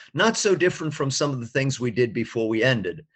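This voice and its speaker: A man with an American accent and an unremarkable speaking voice, medium pitch, ordinary pitch variation and a fairly quick pace. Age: 60s. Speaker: experimental musician. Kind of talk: interview.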